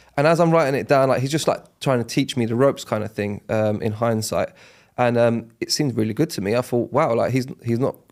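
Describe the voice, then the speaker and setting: At a fairly quick pace, a man with a London accent speaks at medium pitch with ordinary pitch variation, captured in a very clean recording with a silent background. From South London, Catford. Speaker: estate agency owner. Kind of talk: podcast interview. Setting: podcast studio. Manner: casual, many fillers.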